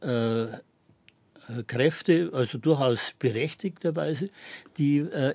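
A man speaks at a very slow pace with a fairly high pitch. The recording is very clean, with a silent background. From Bavarian Forest near Czech border, then Munich. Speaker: historian. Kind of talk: radio interview. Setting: studio. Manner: halting, many fillers.

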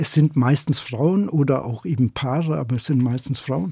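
On a very clean recording with a silent background, a man speaks at a moderate pace. His somewhat breathy voice has a dark, mellow tone and a fairly high pitch with ordinary variation. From Upper Bavaria, Germany (Schongau). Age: 60s. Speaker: novelist. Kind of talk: interview.

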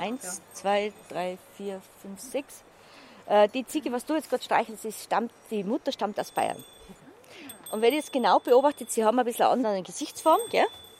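A woman with a Tyrolean accent speaks at a moderate pace and fairly high pitch. Her intonation is lively and her loudness swings a lot, in a dry, close sound with no echo. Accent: Tyrolean Austrian German. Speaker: alpine goat farmer. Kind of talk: casual explanation. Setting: outdoors on an alpine pasture.

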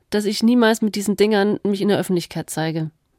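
A woman's fairly high voice with ordinary pitch variation, dry and close with no echo, on a very clean recording over a silent background. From Allgäu, Bavaria. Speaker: radio host. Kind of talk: casual chat. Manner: animated.

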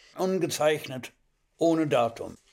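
With ordinary pitch variation and a high pitch, a man talks very slowly. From Hamburg, Germany, later French Alps. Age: 80s+. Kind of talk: reading aloud.

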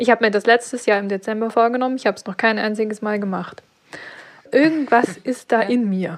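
The speaker keeps a fairly even intonation at a fairly quick pace, while the loudness swings widely. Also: woman, fairly high pitch for a woman. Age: 30s. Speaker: freelance graphic designer. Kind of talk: coaching session. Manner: halting, many fillers.

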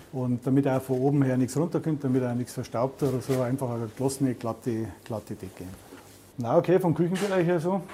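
A man talks fairly quickly in a normal speaking voice, keeping a medium pitch and ordinary pitch variation. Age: 60s. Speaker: food safety inspector. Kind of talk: on-the-job interview.

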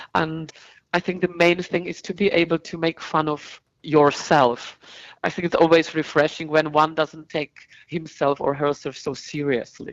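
With a Czech accent, a woman speaks in a very deep, low pitch and fairly even intonation. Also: moderate pace. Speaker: opera singer. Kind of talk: interview. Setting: phone call.

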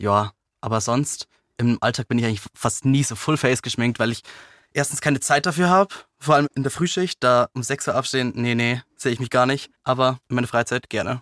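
A man's medium-pitched, unremarkable speaking voice at a fairly quick pace with ordinary pitch variation, dry and close with no echo, on a very clean recording with a silent background. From Lower Bavaria, village. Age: 20s. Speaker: news channel employee. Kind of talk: interview.

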